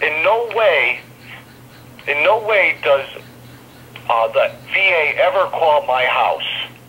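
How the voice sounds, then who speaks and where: Long, frequent pauses break up a man's very slow speech. His loudness stays very even, and noticeable background noise is present. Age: 50s. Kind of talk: interview answer. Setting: phone line.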